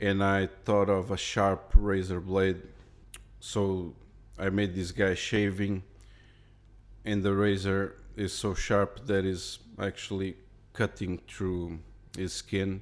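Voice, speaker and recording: A man with a non-native accent speaks in a very deep, low voice with monotone, flat intonation. His pace is very slow, with long, frequent pauses. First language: not English. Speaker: illustrator. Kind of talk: casual narration. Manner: halting, repeats words.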